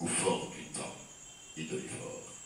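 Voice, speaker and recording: A man talks while background noise is noticeable throughout. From Martinique. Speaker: poet and storyteller. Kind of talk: poetry reading. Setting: live audience.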